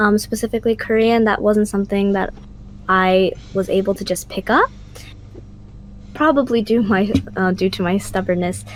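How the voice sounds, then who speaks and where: Her intonation is fairly even, and her pitch is medium for a woman. She speaks with an American accent at a moderate pace, with long, frequent pauses. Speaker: student podcast co-host. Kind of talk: casual chat.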